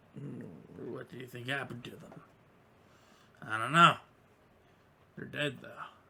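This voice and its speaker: A man uses a raspy, put-on character voice with long, frequent pauses. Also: medium pitch for a man, moderate pace. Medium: actual play.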